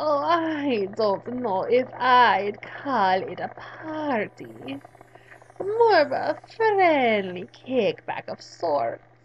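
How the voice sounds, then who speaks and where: A woman uses a put-on character voice pitched high. She speaks at a very slow pace. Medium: solo performance. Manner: purring, arch, theatrical.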